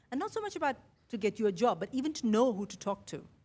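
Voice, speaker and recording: A woman talks at a very fast pace. Her voice is somewhat breathy, with ordinary pitch variation. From India, Mumbai. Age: 50s. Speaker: podcaster. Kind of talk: keynote speech. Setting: stage with audience.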